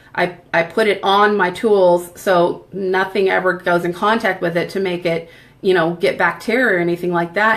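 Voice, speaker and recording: A woman's monotone, flat delivery with vocal fry. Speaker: makeup sales presenter. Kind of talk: makeup tutorial.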